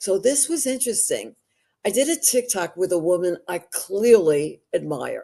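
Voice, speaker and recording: Speaking with a New York accent, a woman uses a medium pitch, a dark, mellow tone and very wide pitch swings at a moderate pace. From New York City. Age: 80s+. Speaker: actress and social media personality. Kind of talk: interview conversation. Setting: livestream.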